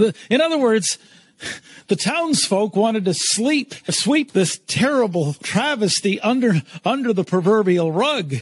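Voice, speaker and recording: A man talks in a high voice at a fairly slow pace, his pitch swinging very widely. The loudness stays very even, and the sound is dry and close with no echo. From Eastern Canada. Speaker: keynote speaker and brand strategist. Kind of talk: interview storytelling.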